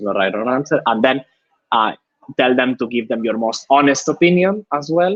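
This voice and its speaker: Speaking at a moderate pace in a Spanish accent, a man uses a medium pitch and lively intonation. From Spain. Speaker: user researcher. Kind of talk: live webinar talk. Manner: halting, frequent repetitions.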